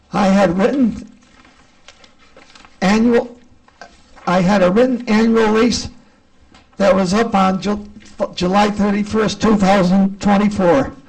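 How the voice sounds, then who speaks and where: Speaking at a fairly slow pace, a man leaves long, frequent pauses. His pitch is high, his intonation fairly even, his loudness very even, and noticeable background noise runs underneath. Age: 70s. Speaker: tenant. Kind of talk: public hearing testimony.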